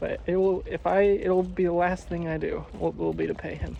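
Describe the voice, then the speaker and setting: Speaking at a fairly quick pace, a man talks with an American accent. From United States. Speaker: travel vlogger walking across Europe. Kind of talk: casual vlog narration while walking. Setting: outdoors.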